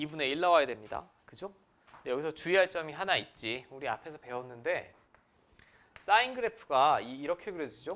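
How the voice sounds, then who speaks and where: A man's fairly high, bright and sharp voice at a fairly quick clip, with lively intonation and big jumps in loudness. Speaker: math teacher. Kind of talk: lecture. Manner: fast.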